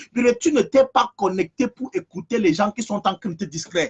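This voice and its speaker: The speaker has an animated tone and lively intonation at a moderate pace. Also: man. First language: African language, not French (speaking French). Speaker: preacher. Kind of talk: sermon. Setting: online live stream. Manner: animated, repetitive.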